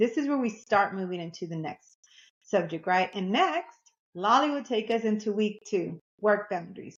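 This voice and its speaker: In a Texas accent, a woman speaks at a moderate pace and a fairly high pitch. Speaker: podcast co-host. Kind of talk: podcast discussion.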